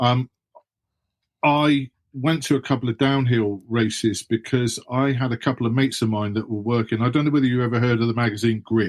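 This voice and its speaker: With an English accent, a man speaks at a fairly quick pace, his medium-pitched voice keeping a fairly even intonation. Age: 60s. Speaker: author and former BMX pro. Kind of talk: interview.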